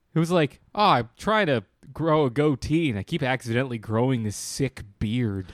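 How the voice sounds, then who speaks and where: A man's normal speaking voice at medium pitch and moderate pace, with lively intonation and a dry, close sound with no echo. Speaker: podcast co-host. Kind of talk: casual comedic banter. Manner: joking.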